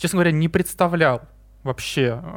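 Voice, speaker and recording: A man's high-pitched voice comes across dry and close with no echo, on a very clean recording with a silent background. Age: 20s. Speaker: airline crew scheduler. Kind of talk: casual interview.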